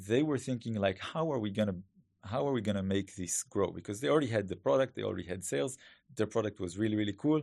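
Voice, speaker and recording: Here a man talks at a very fast pace with an Israeli accent. His fairly low pitch carries lively intonation over a quiet background. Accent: Hebrew-accented English. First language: Hebrew. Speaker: growth hacker and startup founder. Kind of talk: interview. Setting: studio.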